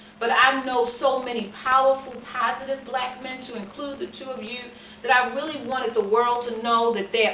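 Over light background noise and audible room echo, a woman with a high-pitched voice talks at a moderate pace. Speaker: interviewer. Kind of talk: interview questions. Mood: warm, earnest, appreciative. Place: home room. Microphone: camera far.

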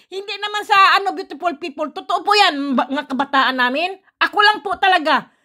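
A woman with an extremely high pitch speaks in a raised, projected voice at a fairly quick pace, her tone bright, sharp and animated and her intonation lively. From Philippines. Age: 50s. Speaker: vlogger. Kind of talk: casual vlog monologue.

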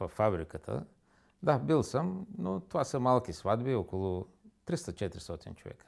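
Against a quiet background, a man with vocal fry speaks at a fairly slow pace, his pitch swinging very widely. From Bulgaria, Varna; Bulgaria. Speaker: interview guest. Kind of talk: studio interview. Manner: halting. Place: studio.

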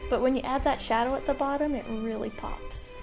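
Music plays in the background. Over it, a woman speaks at a high pitch. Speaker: artist. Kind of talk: casual voice-over for art time lapse.

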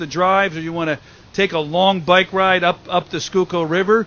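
A man talks with fairly even intonation in a dry sound with no echo. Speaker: city parks commissioner. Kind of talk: ceremony speech. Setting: outdoor event. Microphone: podium.

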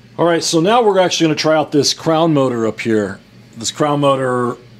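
Ordinary pitch variation from a man speaking at a moderate rate. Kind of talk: product demonstration commentary. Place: workshop. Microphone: phone near.

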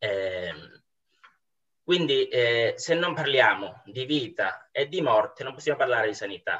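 Against a quiet background, a man with a fairly high pitch and a bright, sharp tone talks at a fairly slow pace, using lively intonation and long, frequent pauses. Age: 20s. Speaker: university student, former pastry chef; guest. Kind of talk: philosophical dialogue. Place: home room. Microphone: video call.

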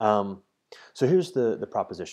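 Quiet background, moderate pace, a man's voice. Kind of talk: explanatory monologue. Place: home room. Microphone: earbuds.

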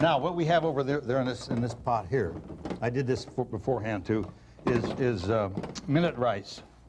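Noticeable background noise runs behind this man. He talks at a moderate pace with lively intonation. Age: 60s. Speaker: comedy cooking show co-host. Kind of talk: comedy cooking show. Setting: studio with audience. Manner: wisecracking. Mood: jokey, deadpan humor. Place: studio. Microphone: lapel.

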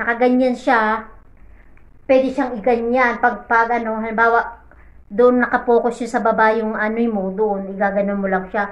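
The speech moves at a moderate pace. Behind it, the background is quiet. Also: woman. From Philippines. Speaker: overseas domestic worker and vlogger; vlogger. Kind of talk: casual vlog. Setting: in her bedroom, lying in bed. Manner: animated. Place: home room. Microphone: phone near.

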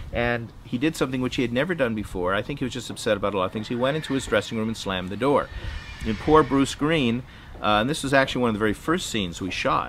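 A man talks at a very fast pace with ordinary pitch variation. Light background noise sits behind him. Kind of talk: anecdotal interview monologue. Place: garden.

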